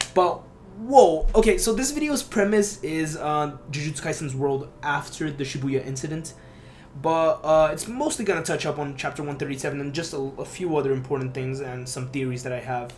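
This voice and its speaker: Audible room echo surrounds this recording. A man speaks at a fairly quick pace in a fairly high pitch. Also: ordinary pitch variation. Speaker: anime YouTuber. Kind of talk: casual video commentary. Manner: filler-heavy, halting; fast.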